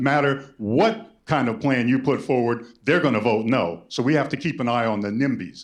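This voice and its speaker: The man's intonation is lively and his pace moderate, with audible room echo around his words. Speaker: lawyer and activist speaking at public hearing. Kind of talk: public hearing testimony. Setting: public hearing with audience. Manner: animated.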